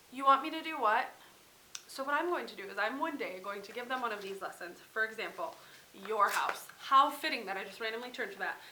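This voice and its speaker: A woman with an American accent talks at a very fast pace in a high voice, her intonation lively and her loudness swinging widely. Background noise is noticeable, and room echo can be heard. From US Midwest, central Wisconsin. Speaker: parenting vlogger. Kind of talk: casual haul vlog.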